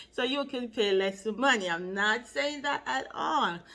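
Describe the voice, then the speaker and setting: With a Jamaican accent, a woman speaks at a very slow pace, her fairly high voice bright and sharp in tone with lively intonation. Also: very clean recording, silent background. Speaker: loctician, hair care vlogger. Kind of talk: tutorial.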